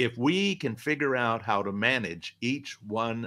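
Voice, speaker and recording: A man speaks with an American accent. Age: 70s. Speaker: investment educator, retired financial adviser. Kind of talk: interview.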